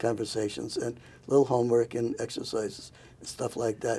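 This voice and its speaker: Here a man speaks at a medium pitch and a moderate pace. His tone is dark and mellow, and somewhat breathy. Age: 70s. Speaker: talk show host, gerontologist. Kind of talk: interview. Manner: halting.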